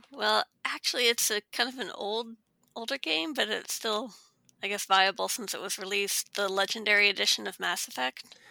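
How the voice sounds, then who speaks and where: On a very clean recording with a silent background, a woman speaks at medium pitch in a bright, sharp tone with vocal fry. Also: ordinary pitch variation, moderate pace. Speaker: game reviewer. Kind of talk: casual roundtable discussion.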